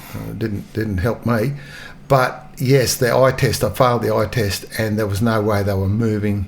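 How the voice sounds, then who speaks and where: Somewhat breathy and fairly low, a man talks at a moderate pace in an Australian accent. His intonation stays fairly even. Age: 70s. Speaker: retired police officer. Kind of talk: storytelling interview. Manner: halting.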